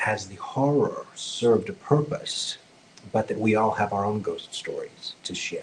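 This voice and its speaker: Noticeable noise sits behind a man who talks with an American accent. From US South, rural. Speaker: psychic medium. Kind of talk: podcast interview. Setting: video podcast.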